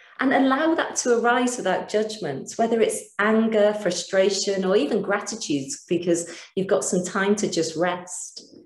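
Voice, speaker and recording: A woman speaks with lively intonation at a very even loudness. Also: medium pitch for a woman, moderate pace, hardly any pauses. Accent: British. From Britain. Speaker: mindfulness teacher. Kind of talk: webinar lecture with guided practice. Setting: online webinar. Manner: calm.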